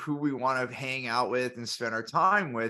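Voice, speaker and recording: Loud man's voice, bright and sharp in tone, at a moderate pace. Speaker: business podcast host. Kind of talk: casual panel discussion.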